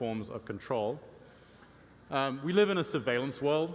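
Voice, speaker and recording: A man talks at a fairly quick pace. He has an English accent. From England. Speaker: tech company CEO and conference speaker. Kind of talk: conference presentation. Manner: frequent fillers (um, uh).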